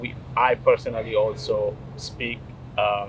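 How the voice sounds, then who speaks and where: A man speaks over noticeable background noise. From Eritrea. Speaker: city councilman. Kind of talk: interview. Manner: hesitant, many fillers.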